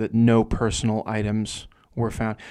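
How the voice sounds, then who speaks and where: A man with an American accent, medium in pitch, at a fairly slow pace, on a very clean recording with a silent background. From New Jersey. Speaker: author and journalist. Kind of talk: casual interview chat. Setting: studio.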